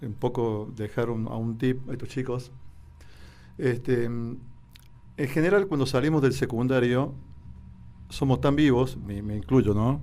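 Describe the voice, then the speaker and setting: Speaking at a fairly slow pace with long, frequent pauses, a man with a dark, mellow tone and medium pitch uses ordinary pitch variation, with audible room echo. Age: 60s. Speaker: doctor, therapist. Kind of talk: radio interview.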